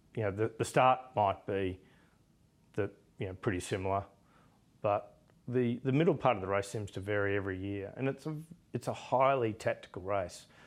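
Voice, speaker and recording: A fairly low-pitched man with an Australian accent, moderate pace, and long, frequent pauses, on a very clean recording with a silent background. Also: ordinary pitch variation. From Australia, Melbourne. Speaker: business executive and yachtsman. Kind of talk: interview. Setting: yacht club.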